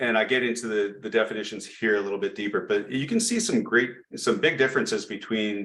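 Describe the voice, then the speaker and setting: A man's medium-pitched voice, bright and sharp in tone, fairly even in intonation, at a fairly quick pace. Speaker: project management presenter. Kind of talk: presentation lecture. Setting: chapter meeting. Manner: fast.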